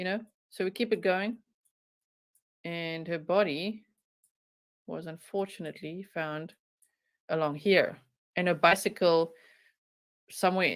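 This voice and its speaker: A woman with a strong South African accent and medium pitch speaks at a moderate pace with long, frequent pauses and big swings in loudness, on a very clean recording with a silent background. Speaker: true crime YouTuber. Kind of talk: live stream commentary. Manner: animated.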